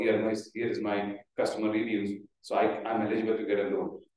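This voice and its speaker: A man's voice in strong room echo. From India. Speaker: startup founder giving a talk; conference speaker. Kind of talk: conference presentation. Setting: office event room with hybrid audience. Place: hall.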